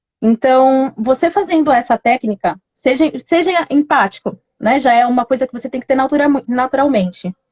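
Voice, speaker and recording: A dry, close sound with no echo and ordinary pitch variation. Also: woman. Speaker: communication tips presenter. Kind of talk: live stream talk. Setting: Instagram live.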